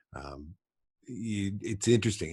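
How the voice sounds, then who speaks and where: A voice with a western Canadian accent is heard on a very clean recording with a silent background. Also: man. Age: 60s. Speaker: podcast host and trapper. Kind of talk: casual interview chat. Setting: internet call.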